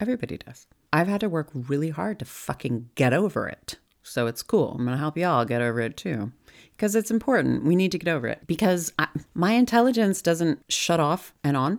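A woman talks at a fairly quick clip in a fairly low voice. Her tone is animated, and her pitch swings very widely. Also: very clean recording, silent background. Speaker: podcast host. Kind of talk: casual solo monologue. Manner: animated, loud, profane.

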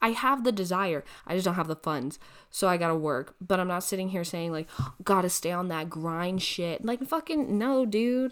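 A woman with a normal speaking voice and lively intonation at a moderate pace, on a very clean recording with a silent background. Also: medium pitch for a woman. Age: 20s. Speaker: podcast host. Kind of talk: casual monologue. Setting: recording alone at a computer. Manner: casual with frequent fillers.

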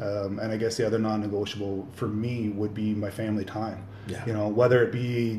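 The voice is dark, mellow and somewhat breathy, with monotone, flat intonation at a fairly quick pace. Audible room echo surrounds it. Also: man, fairly low pitch for a man, hardly any pauses. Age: 40s. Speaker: plumbing business owner, amateur bodybuilder. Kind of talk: casual interview. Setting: home kitchen. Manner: halting, many fillers.

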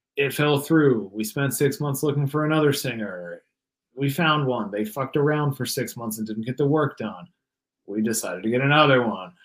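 This man talks at a moderate pace with medium pitch and ordinary pitch variation. His is a normal speaking voice. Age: 30s. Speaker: guitarist and singer in metal bands. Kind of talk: casual interview chat.

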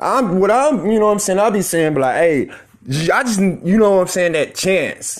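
A man with an American accent talks at a high pitch with lively intonation. His loudness stays very even, and background noise is noticeable. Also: moderate pace. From Oklahoma, Tulsa. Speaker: podcaster and rapper. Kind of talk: casual solo monologue. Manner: halting, filler-heavy.

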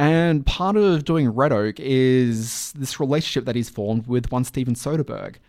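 Speaking with an Australian accent at a moderate pace, a man uses a medium pitch and ordinary pitch variation on a very clean recording with a silent background. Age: 30s. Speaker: podcast host. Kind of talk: casual chat.

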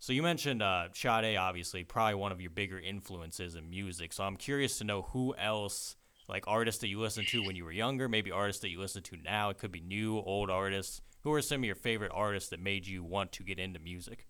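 Bright and sharp in tone, a man's fairly low voice races at a very fast pace with hardly any pauses and ordinary pitch variation. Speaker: podcast host. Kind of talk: casual interview.

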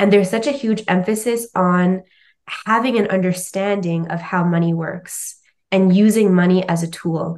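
Speaking with a Canadian accent, a woman of medium pitch keeps a moderate pace and fairly even intonation against a quiet background. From Canada. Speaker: finance educator. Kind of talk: interview.

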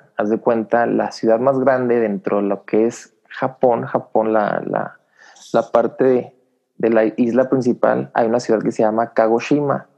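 A man's plain, everyday voice at a medium pitch, fairly slow, with fairly even intonation. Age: 30s. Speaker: engineer, former space agency worker. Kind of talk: casual interview.

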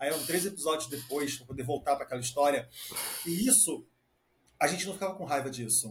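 Lively intonation carries a man's very rapid speech. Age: 30s. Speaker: podcast co-host, psychotherapist. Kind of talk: casual chat.

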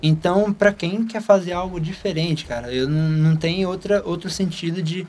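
This man's voice is high-pitched for a man, and he speaks at a moderate pace. Music plays in the background. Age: young. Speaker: young church volunteer and musician. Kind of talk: casual chat.

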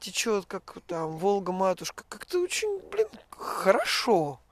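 A woman at medium pitch takes her words at a very slow pace. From Russia, Urals (Kamensk-Uralsky). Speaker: emigrant. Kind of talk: casual chat. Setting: outdoors.

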